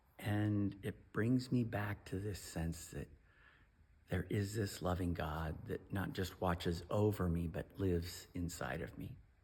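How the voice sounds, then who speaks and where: Speaking at a fairly slow pace, a man with a very deep, low voice sounds somewhat breathy and shows ordinary pitch variation. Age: 50s. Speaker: pastor. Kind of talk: devotional talk.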